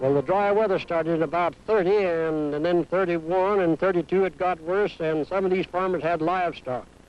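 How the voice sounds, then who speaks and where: A man with an American accent speaks at high pitch and a fairly quick pace, with hardly any pauses, fairly even intonation and very even loudness. Music plays in the background. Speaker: rancher. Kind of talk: interview answer.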